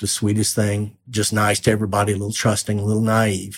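Speaking at a fairly quick pace, a man with a fairly low pitch talks with an American accent. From Texas, small town. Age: 60s. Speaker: author and journalist. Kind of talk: interview storytelling.

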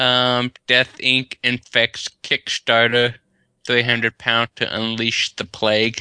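At a very slow pace, a man speaks with a medium pitch, a bright, sharp tone and monotone, flat intonation, in a dry, close sound with no echo against a quiet background. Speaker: podcast co-host. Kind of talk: casual chat. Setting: video call.

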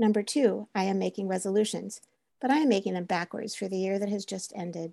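A woman speaks fairly quickly at medium pitch, her tone dark and mellow with ordinary pitch variation. The sound is dry and close with no echo, and the background is quiet. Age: 70s. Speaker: therapist and essayist. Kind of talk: personal essay read aloud.

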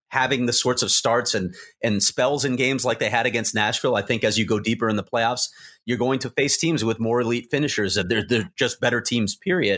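An unremarkable speaking voice from a man, medium in pitch, fairly quick, with ordinary pitch variation over a quiet background. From Chicago, US Midwest. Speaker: hockey reporter. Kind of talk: casual podcast chat.

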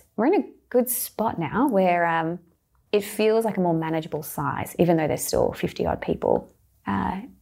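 On a very clean recording with a silent background, a woman at a medium pitch talks at a fairly quick pace with lively intonation, a dark, mellow tone, vocal fry and long, frequent pauses. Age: 30s. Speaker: skincare brand co-founder. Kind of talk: interview. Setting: studio.

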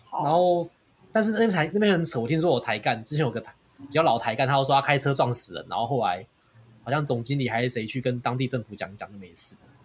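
Very fast, somewhat breathy speech from a man at medium pitch with lively intonation. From Taiwan. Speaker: podcast host. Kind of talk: casual chat.

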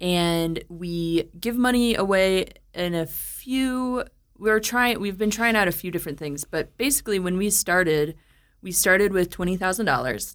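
A woman with an American accent and an unremarkable speaking voice, medium pitch, ordinary pitch variation and a moderate pace, on a very clean recording with a silent background. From US Midwest (St. Louis, Missouri). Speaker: brewery co-founder. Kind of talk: interview.

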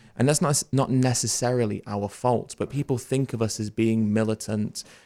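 A man speaks with a British accent at a fairly low pitch. His intonation stays fairly even, and the recording is very clean with a silent background. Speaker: vegan educator and activist. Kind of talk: interview conversation.

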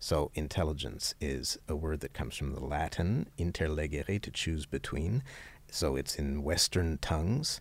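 Speaking at a moderate pace, a man uses a very deep, low voice with vocal fry and ordinary pitch variation. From grew up multilingual, English and French. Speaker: author. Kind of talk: interview. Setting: conference.

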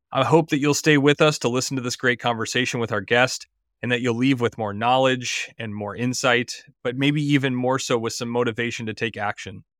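This man speaks fairly quickly with a Midwestern American accent. His pitch sits in the middle range and his intonation stays fairly even. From US Midwest, Illinois. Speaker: physician podcast host. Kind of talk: interview.

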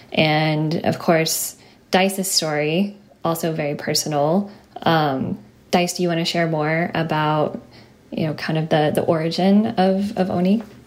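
Over noticeable background noise, a woman speaks at a fairly slow pace in a fairly low voice with fairly even intonation. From Kentucky, rural. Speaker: animation producer. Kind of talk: interview.

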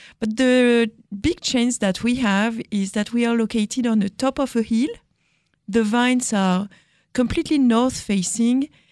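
A woman with a French accent speaks at a fairly slow pace in a fairly high pitch, her ordinary pitch variation and very even loudness captured in a dry, close sound with no echo on a very clean recording with a silent background. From France. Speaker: winemaker. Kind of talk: casual interview.

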